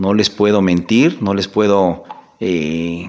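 Speaking with fairly even intonation, a man has an ordinary speaking voice pitched fairly low. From Mexico, Zacatelco, Tlaxcala. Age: 40s. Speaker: municipal political candidate, accountant. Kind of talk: interview. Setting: studio.

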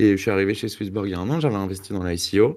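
Pitched fairly low, a man speaks with ordinary pitch variation. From France. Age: 30s. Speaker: crypto company relationship manager. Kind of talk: online community Q&A.

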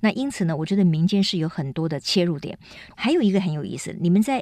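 Very fast delivery in a medium-pitched female voice. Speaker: radio host. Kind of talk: radio interview.

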